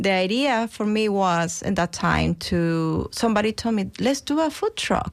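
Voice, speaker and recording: A woman with a Mexican accent talks at a fairly slow pace, hardly pausing, her pitch medium and her intonation lively. Her loudness stays very even, and the recording is very clean with a silent background. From Mexico. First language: Spanish. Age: 50s. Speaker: chef and restaurant owner. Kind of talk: interview. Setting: studio.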